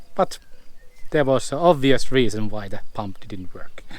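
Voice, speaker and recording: With a Finnish accent, a man talks at a moderate pace, his pitch swinging very widely. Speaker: van life vlogger. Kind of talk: casual vlog narration. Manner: halting.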